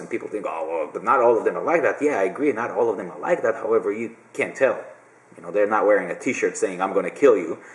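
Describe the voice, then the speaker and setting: A man is heard speaking while noticeable background noise carries on. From Israel. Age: 40s. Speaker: video blogger. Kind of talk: casual Q&A monologue. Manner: hesitant, many fillers.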